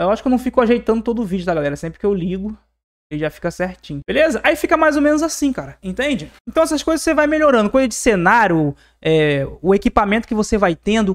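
Very fast and high-pitched, this man's voice moves through very wide pitch swings. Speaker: digital marketing YouTuber. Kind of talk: casual tutorial to camera. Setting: home studio with acoustic foam. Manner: animated.

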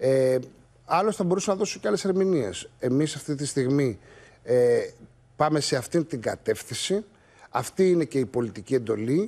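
The tone is dark and mellow, with lively intonation and a moderate pace. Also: man. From Greece (Crete and Mani roots); Greece. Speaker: politician. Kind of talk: TV interview. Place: studio. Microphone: lapel.

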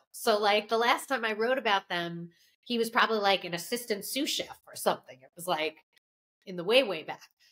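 The woman's intonation is lively. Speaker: food writer podcast co-host. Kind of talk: casual podcast chat. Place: home room.

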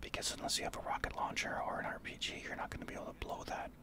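Very fast, soft-spoken whispering against loud background noise. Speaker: gaming streamer. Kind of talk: gameplay commentary with tips. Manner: soft ASMR whisper, explaining.

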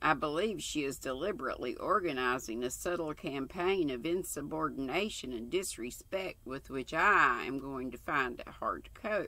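A woman with a very deep, low voice talks at a moderate pace with hardly any pauses, the sound dry with no echo. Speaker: craft channel host. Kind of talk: reading a book aloud. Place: home room. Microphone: webcam.

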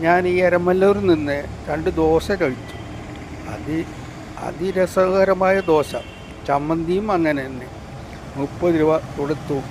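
A high-pitched man speaks with fairly even intonation. Noticeable background noise can be heard. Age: 60s. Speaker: travel vlogger. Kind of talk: vlog narration. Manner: halting, with frequent pauses.

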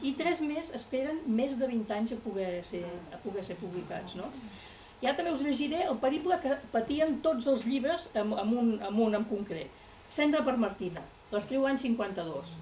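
Over light background noise, a woman talks at a fairly slow pace in a high pitch, her voice making very wide pitch swings. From Catalonia. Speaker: writer's daughter giving a talk; guest. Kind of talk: public talk. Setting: library event with audience. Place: hall.

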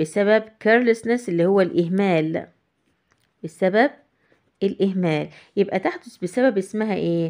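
With an Egyptian accent, a woman talks at a moderate pace and medium pitch, using ordinary pitch variation and long, frequent pauses. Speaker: English teacher. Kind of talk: tutorial.

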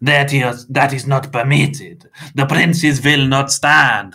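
A put-on character voice from a man, medium in pitch with ordinary pitch variation, slow in pace, bright and sharp in tone, with vocal fry

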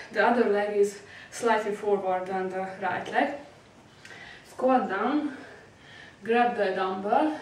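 A woman at a very slow pace, ordinary pitch variation, and audible room echo. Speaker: fitness instructor. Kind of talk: tutorial. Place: home room. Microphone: camera far.

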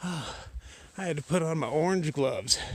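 The sound is dry with no echo as a man speaks. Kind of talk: casual vlog chat. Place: forest. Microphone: phone near.

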